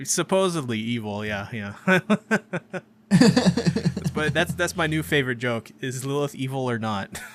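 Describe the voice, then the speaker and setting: A man at medium pitch, fairly slow and with lively intonation, with music in the background. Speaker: anime podcast co-host. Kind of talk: casual chat. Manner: halting, many fillers.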